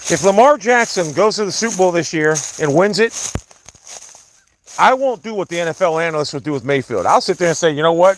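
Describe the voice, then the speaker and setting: A man speaks loudly at a very fast pace, his high voice animated in tone. His intonation is lively, with long, frequent pauses. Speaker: sports livestreamer. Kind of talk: casual livestream rant. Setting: outdoors, walking in the woods.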